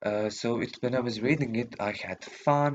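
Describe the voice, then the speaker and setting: Speaking with a non-native accent, a man talks fairly slowly at a medium pitch with ordinary pitch variation. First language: not English. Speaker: youtuber. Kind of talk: casual vlog monologue. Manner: halting, many fillers.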